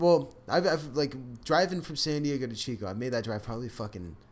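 Using vocal fry and very wide pitch swings, a man speaks at a fairly quick pace. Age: 20s. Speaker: podcast co-host, college student. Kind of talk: casual chat. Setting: studio.

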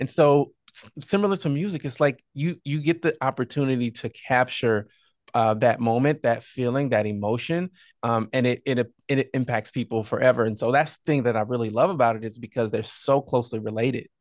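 A man with an American accent talks in a normal speaking voice at a fairly quick pace, medium in pitch with ordinary pitch variation. The sound is dry and close with no echo, over a quiet background. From southern Illinois, small town. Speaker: entrepreneur and podcaster. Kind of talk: interview conversation.

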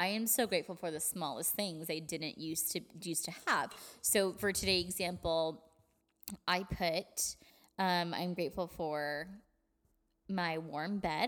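A woman's fairly low voice with fairly even intonation and long, frequent pauses. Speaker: podcast co-host. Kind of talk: casual chat. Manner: fast talker.

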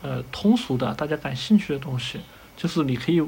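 A man talks at a moderate pace with a fairly high pitch and lively intonation. His is an unremarkable speaking voice. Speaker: ship designer. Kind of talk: casual interview.

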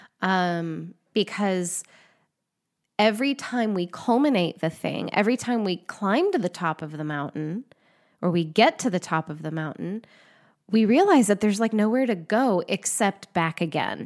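A woman at a medium pitch speaks at a moderate pace with lively intonation, in a very clean recording with a silent background. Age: 40s. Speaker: astrology podcast host. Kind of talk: casual solo monologue. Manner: informal, many fillers.

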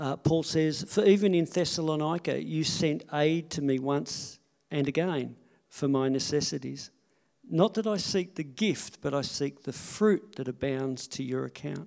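The man has a normal speaking voice, fairly high in pitch with ordinary variation. His pace is fairly slow. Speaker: pastor. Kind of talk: church service talk, scripture reading, offering message. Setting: church. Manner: emotional, chuckling, casual.

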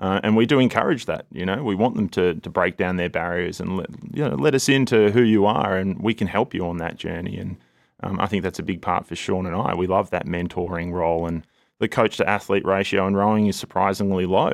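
A man with an Australian accent speaks at a very deep, low pitch and a fairly quick pace. The recording is very clean, with a silent background. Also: ordinary pitch variation. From Melbourne, Australia. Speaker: head of rowing.

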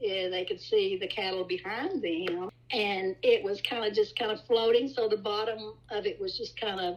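With a West Texas accent, a woman talks at a moderate pace, her medium-pitched voice keeping fairly even intonation. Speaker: storyteller, host's grandmother. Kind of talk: personal ghost story.

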